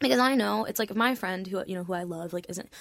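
Speaking at a very fast pace with lively intonation, a woman with an American accent has a medium pitch and vocal fry, on a very clean recording with a silent background. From Florida. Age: 20s. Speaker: musician. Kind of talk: casual chat. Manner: soft-spoken.

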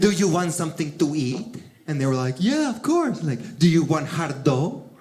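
Amid noticeable background noise, a man with an American accent speaks at a fairly slow pace. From Miami, Florida (Cuban-born). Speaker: comedian. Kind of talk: stand-up. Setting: stage with audience.

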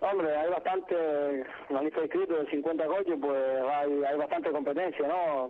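Noticeable background noise accompanies a man speaking at a fairly slow pace. His pitch is fairly high, his intonation fairly even and his loudness very even. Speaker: rally driver. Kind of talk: interview.

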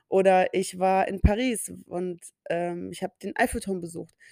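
A woman's medium-pitched voice comes through in a dry, close sound with no echo. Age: 30s. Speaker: podcast host. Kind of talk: solo monologue podcast. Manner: animated.

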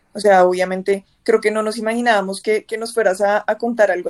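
The sound is dry and close, with no echo. A woman speaks at a moderate pace and medium pitch in a monotone, flat intonation. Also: hardly any pauses. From Bogotá, Colombia. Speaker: podcast host. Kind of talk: casual chat.

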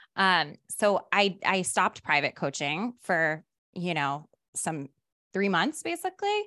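A woman's fairly low, bright and sharp voice with lively intonation at a fairly slow pace, dry and close with no echo on a very clean recording with a silent background. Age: 30s. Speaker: career coach and actor. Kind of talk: casual chat.

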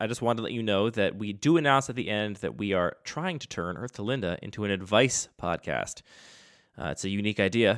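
A man talks at a very fast pace in a fairly low pitch. The recording is very clean with a silent background. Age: 30s. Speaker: podcast co-host. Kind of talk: casual chat.

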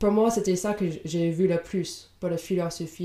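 A woman's fairly low, dark and mellow voice with a slight English accent, monotone and flat in intonation, at a fairly slow pace. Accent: slight English-speaker accent in French. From Indiana, US. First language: English (speaking French). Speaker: podcast co-host. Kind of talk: casual book discussion. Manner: halting, many fillers.

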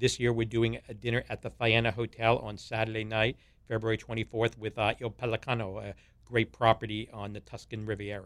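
In an American accent, a man at medium pitch speaks fairly quickly in a flat monotone, with big swings in loudness. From US Northeast (Long Island, New York). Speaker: food festival founder, cookbook author. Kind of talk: interview, casual chat.

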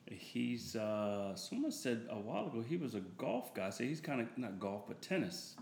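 A man with an American accent at medium pitch, lively intonation, a moderate pace, hardly any pauses, and audible room echo. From Delaware and California. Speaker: minister. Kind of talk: casual interview chat.

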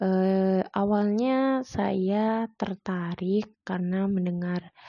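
Here a woman speaks at a medium pitch. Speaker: university student. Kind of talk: personal story monologue. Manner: hesitant with fillers.

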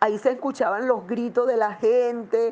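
A woman speaks in a Venezuelan accent. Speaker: parishioner, disaster survivor. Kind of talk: personal testimony.

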